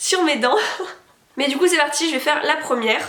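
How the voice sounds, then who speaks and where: A woman speaks at a fairly quick pace with ordinary pitch variation. Audible room echo and noticeable background noise are present. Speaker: beauty and product review youtuber. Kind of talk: product review vlog. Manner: hesitant with frequent fillers.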